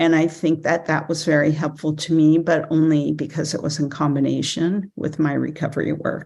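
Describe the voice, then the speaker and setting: A woman speaks in an unremarkable speaking voice, fairly low in pitch, against a quiet background. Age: 60s. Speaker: recovery program member sharing her story. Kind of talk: testimony. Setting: speaker meeting.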